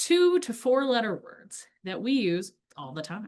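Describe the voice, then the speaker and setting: A woman speaks with a Midwestern accent. The background is quiet. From US Midwest. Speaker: LGBTQ+ educator. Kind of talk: lecture. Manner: casual, animated.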